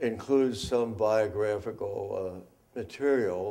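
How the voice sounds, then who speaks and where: An American accent marks this man's speech. His pitch is medium, and his pace is very slow. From Philadelphia. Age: 80s+. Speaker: judge. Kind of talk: oral history interview answer.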